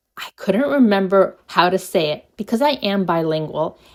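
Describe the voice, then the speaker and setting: A non-native accent at a very slow pace. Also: woman. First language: not English. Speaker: knitting vlogger and writer. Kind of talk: casual vlog. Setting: home basement.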